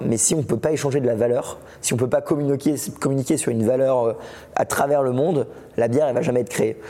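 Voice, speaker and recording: A man speaks at a very fast pace with very even loudness and fairly even intonation, his pitch medium. Noticeable background noise sits behind him. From France. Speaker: Bitcoin educator and YouTuber. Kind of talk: casual interview. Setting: at a conference in Biarritz.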